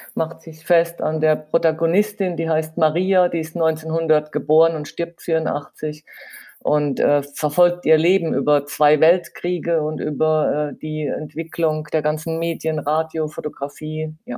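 At a fairly slow pace, a woman speaks with a very deep, low pitch, a dark, mellow tone and monotone, flat intonation. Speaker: advertising copywriter. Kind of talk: interview.

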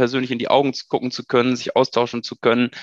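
A man talking against a quiet background. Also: dry, close sound with no echo. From Germany, Münsterland (Ahaus). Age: 30s. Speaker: PR manager. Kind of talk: casual interview.

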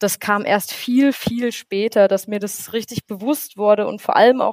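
An ordinary speaking voice from a woman, fairly high in pitch, with fairly even intonation and a dry, close sound free of echo. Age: 20s. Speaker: student teacher. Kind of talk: interview.

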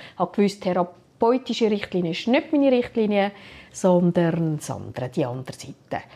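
Her tone dark and mellow, a woman talks at a moderate pace with very wide pitch swings. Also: medium pitch for a woman. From Switzerland. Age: 50s. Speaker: HR director. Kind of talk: interview.

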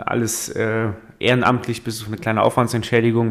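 Speaking at a fairly quick pace, a man uses a medium pitch with monotone, flat intonation. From Saarland, Germany. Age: 20s. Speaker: state politician and podcast co-host. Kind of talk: casual chat.

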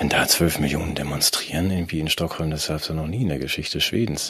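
A man with a very deep, low pitch talks at a fairly quick pace. Noticeable background noise is present. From Germany. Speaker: podcast co-host. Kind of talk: casual political chat.

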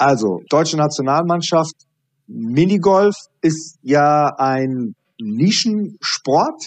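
A man's fairly high voice, very slow and with lively intonation, in a dry, close sound with no echo. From Iraqi-born, grew up in Germany. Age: 40s. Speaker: high performance coach. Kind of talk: interview.

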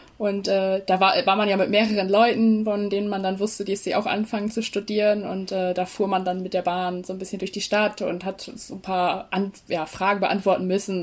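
Monotone, flat intonation at a fairly quick pace. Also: woman. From East Frisia, Leer area. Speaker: student, social media creator. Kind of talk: casual interview. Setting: video call.

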